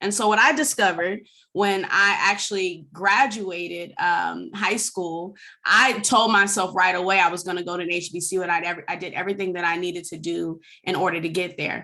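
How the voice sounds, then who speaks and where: This woman has an American accent and a bright, sharp tone. Her voice sits at a medium pitch with ordinary pitch variation, and she keeps a moderate pace. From US West Coast, San Francisco Bay Area. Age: 30s. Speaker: anti-racism educator, former foster youth. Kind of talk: webinar presentation.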